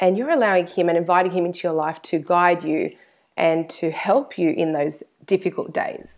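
This woman has an Australian accent and a medium pitch. She talks at a fairly quick pace. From Australia, Sydney. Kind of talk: interview.

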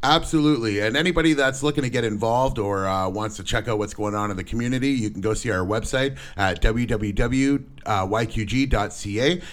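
A man with a Canadian accent and a medium pitch talks at a fairly quick pace with hardly any pauses and ordinary pitch variation, in a plain, everyday voice. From Windsor, Ontario, Canada. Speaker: podcast host. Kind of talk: casual chat.

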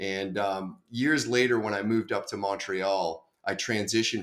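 A man at a moderate pace with a fairly low pitch and ordinary pitch variation, an ordinary speaking voice on a very clean recording with a silent background. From Boston. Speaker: enterprise software sales executive. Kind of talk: podcast interview.

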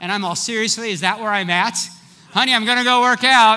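Over noticeable background noise, a raised, projected voice rushes along at a very fast pace with ordinary pitch variation. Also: man. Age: 50s. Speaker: pastor. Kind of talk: sermon. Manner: animated.

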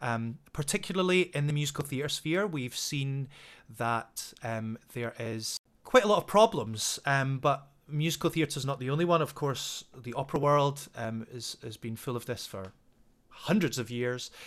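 A man with a fairly high pitch speaks in a west of Scotland accent. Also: lively intonation, moderate pace, very clean recording, silent background. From west coast of Scotland. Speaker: singing teacher. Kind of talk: interview. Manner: hesitant, many fillers.

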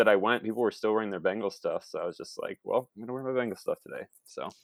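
Recorded very cleanly against a silent background, a man with a Midwestern American accent speaks at medium pitch in a dry, close sound with no echo. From Northwest Ohio (Toledo). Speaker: TV writer and musician. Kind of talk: casual chat.

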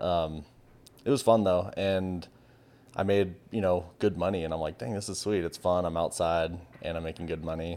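Very deep and low in pitch, a man with a dark, mellow tone talks at a moderate pace with fairly even intonation. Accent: West Coast American. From Southern California (San Diego). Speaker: photographer. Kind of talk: casual chat.

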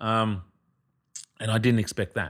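A man speaks with an Australian accent at a moderate pace. His pitch is fairly low, and the recording is very clean with a silent background. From Australia, Noongar country, southwest Western Australia. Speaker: actor. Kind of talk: casual chat.

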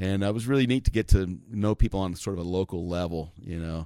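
A man with an American accent, a dark, mellow tone and a fairly low pitch, at a fairly quick pace with ordinary pitch variation, on a very clean recording with a silent background. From US Southwest, Arizona. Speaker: bluegrass bass player. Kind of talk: casual interview. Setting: backstage at a festival.

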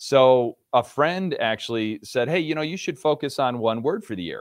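This man has an unremarkable speaking voice with an American accent. His pitch is fairly high and his intonation lively. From New York State, Rochester. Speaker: author and motivational speaker. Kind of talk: interview, motivational talk.

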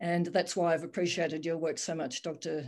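The pace is moderate. We hear a normal speaking voice. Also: woman. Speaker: general practitioner. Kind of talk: roundtable discussion.

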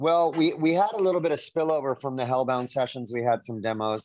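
This is a plain, everyday voice. It moves at a fairly quick pace with lively intonation. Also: man. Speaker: rock singer. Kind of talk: interview.

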